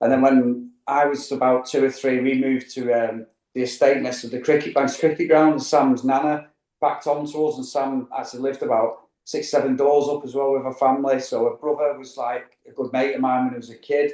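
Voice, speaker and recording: In a Mancunian accent, a man speaks at a fairly quick pace and medium pitch, with a dark, mellow tone and monotone, flat intonation. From Manchester, northern England. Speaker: travel vlogger. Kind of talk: casual interview chat. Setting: studio couch.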